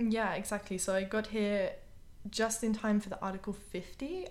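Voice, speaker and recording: Fairly even intonation from a woman at a moderate pace. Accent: British. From UK. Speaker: immigrant telling her story. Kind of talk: interview.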